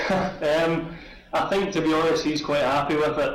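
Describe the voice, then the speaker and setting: A man talks at a moderate pace with monotone, flat intonation. Noticeable background noise and audible room echo surround him. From Scotland, Glasgow. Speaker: Olympic swimmer. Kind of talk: interview. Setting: video call. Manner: hesitant, many fillers.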